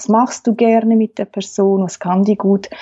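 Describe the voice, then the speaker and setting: At a fairly slow pace, a woman speaks with a fairly high pitch. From Switzerland, Aargau. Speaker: family therapist. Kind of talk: interview.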